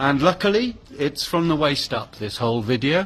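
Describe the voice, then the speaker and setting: Over noticeable background noise, a man speaks fairly slowly at a medium pitch with lively intonation. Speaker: artist. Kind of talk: casual vlog talk.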